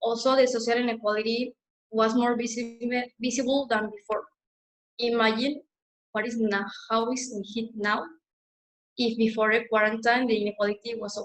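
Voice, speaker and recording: A woman with a Mexican accent, fairly high pitch and flat, monotone intonation, at a moderate pace broken by long, frequent pauses. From Mexico. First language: Spanish. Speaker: student activist. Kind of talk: webinar presentation.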